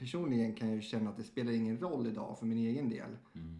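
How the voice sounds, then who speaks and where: Here a man has a plain, everyday voice at a medium pitch. His pace is fairly quick. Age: 30s. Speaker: podcast host, recovering alcoholic. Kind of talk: casual chat.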